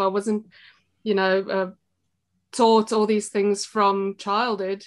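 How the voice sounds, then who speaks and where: The background is quiet as a woman with a South African accent speaks. Her pace is fairly slow and her intonation fairly even. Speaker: shop co-owner and former teacher. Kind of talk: podcast interview. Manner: hesitant, many fillers.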